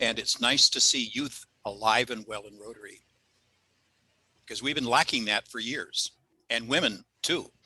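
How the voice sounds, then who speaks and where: Bright and sharp in tone, the voice moves at a fairly slow pace with ordinary pitch variation and big swings in loudness. Long pauses come often. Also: man, medium pitch for a man. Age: 80s+. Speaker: club member. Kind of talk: video meeting discussion.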